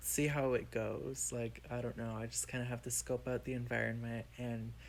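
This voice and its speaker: Soft-spoken, a man talks. His pace is moderate. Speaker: podcast co-host. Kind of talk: casual chat. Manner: quiet.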